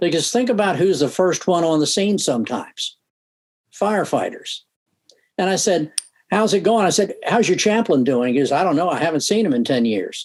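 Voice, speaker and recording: A high-pitched man with lively intonation and very even loudness. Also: fairly quick pace. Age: 70s. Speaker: police and fire chaplain. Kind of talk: radio interview.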